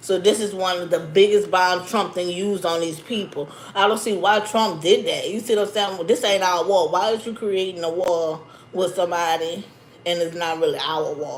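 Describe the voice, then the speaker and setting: Speaking at a moderate pace, a woman uses a medium pitch and fairly even intonation. Audible room echo sits behind her. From Louisiana, New Orleans. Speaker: YouTuber. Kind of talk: livestream commentary. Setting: YouTube livestream. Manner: casual, conversational.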